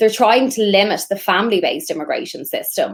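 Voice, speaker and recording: This woman speaks with an Irish accent. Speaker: immigration lawyer. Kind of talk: interview.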